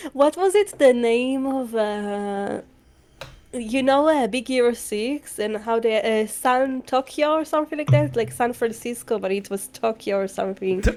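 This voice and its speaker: Here a woman talks with a non-native accent and lively intonation. Her pitch is fairly high. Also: moderate pace. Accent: noticeable non-native. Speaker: VTuber streamer. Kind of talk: casual chat. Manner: halting.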